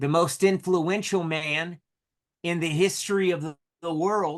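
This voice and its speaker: Against a quiet background, a man with a North Carolina accent speaks at a high pitch, fairly slowly, with fairly even intonation. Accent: North Carolina country. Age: 30s. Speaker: solar sales leader. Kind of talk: motivational talk with interpreter.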